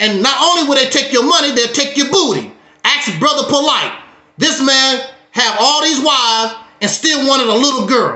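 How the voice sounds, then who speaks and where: In a room with audible echo, a man with an extremely high voice speaks in an animated tone at a moderate pace, with very even loudness and ordinary pitch variation. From Mississippi, US South. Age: 60s. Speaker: YouTube talk show host. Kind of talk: heated talk on a livestream.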